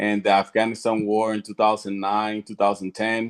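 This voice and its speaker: In a Puerto Rican accent, a man with a fairly low pitch speaks in a monotone, flat intonation. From Puerto Rico. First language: Spanish. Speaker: retired Marine veteran. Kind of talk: panel self-introduction.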